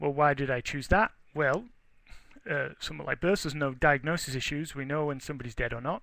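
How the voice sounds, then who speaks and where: Talking at a very fast pace, a man uses a fairly high pitch with ordinary pitch variation. His tone is bright and sharp, with an English accent. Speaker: research forester. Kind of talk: webinar lecture. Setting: webinar. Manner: conversational, with hesitations.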